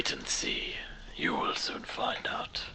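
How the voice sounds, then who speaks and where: A raspy put-on character voice at a fairly slow pace. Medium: actual play. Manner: commanding, clipped and formal.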